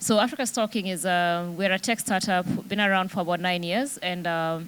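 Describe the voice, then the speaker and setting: Someone with a Kenyan accent speaks at a fairly quick pace with ordinary pitch variation, in a very clean recording with a silent background. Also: woman, medium pitch for a woman. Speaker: tech company CEO. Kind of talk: panel discussion. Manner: halting, many fillers.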